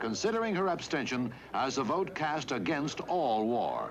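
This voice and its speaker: Here is an ordinary speaking voice from a man with a fairly high pitch. He goes at a moderate pace. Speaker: newsreel narrator. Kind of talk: historical newsreel narration.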